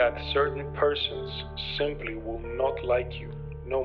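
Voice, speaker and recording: With music in the background, this man talks at a fairly low pitch. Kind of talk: literary reading from a novel. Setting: old-time radio style audio effect, background music.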